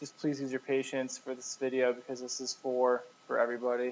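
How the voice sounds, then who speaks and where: A man's fairly high voice at a fairly quick pace. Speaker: tutor / instructor. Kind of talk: tutorial. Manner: hesitant, many fillers.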